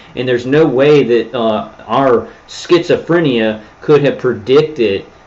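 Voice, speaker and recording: Medium-pitched male speech at a moderate pace, with noticeable background noise. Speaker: livestreamer describing himself as targeted individual. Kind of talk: livestream monologue. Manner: loud; animated.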